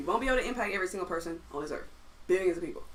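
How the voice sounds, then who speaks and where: A woman's voice with very wide pitch swings amid noticeable background noise. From US South, Atlanta, Georgia. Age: 20s. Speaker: musician and producer. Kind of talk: casual chat.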